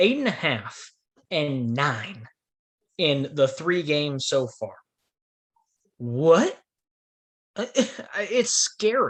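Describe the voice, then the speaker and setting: This man talks at a very slow pace. His pitch swings very widely. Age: 20s. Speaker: sports podcast co-host. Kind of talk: casual sports roundtable discussion.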